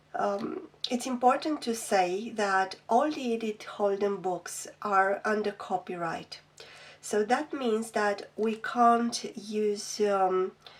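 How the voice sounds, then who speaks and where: A woman with a non-native accent speaks very slowly in a fairly high pitch. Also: ordinary pitch variation. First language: not English. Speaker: craft youtuber. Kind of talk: product flip-through review. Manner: hesitant, many ums.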